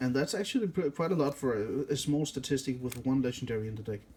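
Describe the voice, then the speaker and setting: He has a Danish accent. This man speaks at a very fast pace. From Denmark. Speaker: card game YouTuber. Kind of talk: tutorial. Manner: casual, with hesitations and self-corrections.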